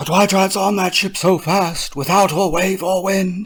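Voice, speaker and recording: At a moderate pace, a man does a put-on character voice pitched high. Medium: read story. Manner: questioning, insistent.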